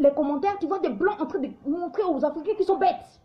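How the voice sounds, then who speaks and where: Using an extremely high pitch and lively intonation, a woman talks at a moderate pace. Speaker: YouTube live commentator. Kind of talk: livestream monologue. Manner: animated; halting, many repetitions.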